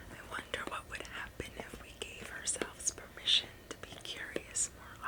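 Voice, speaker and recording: Someone whispers at a fairly slow pace. Background noise is noticeable. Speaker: ASMR creator. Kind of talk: ASMR whispered relaxation talk. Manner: whispered, soft-spoken.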